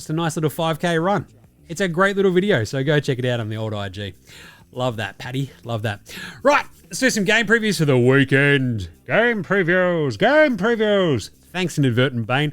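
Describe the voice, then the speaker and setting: With an Australian accent, a man speaks at a moderate pace and fairly high pitch, his pitch swinging very widely. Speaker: sports podcast host. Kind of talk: casual chat. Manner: casual, swearing.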